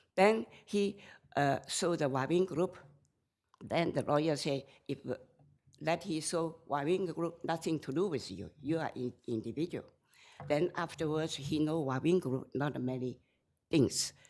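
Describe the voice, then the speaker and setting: A woman with a very deep, low pitch and a non-native accent, ordinary pitch variation, a fairly slow pace, and long, frequent pauses. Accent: non-native English, limited. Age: 70s. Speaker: self-represented appellant. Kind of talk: appellate court argument. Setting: courtroom.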